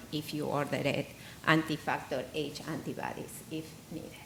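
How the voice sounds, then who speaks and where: Fairly slow speech with audible room echo. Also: woman. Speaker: hematologist. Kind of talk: conference presentation.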